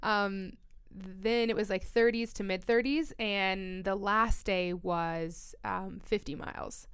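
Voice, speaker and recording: A woman speaks very slowly with a General American accent. Her pitch is medium, with ordinary variation. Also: very clean recording, silent background. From Colorado. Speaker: trail runner and mountain athlete. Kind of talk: casual interview. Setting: studio.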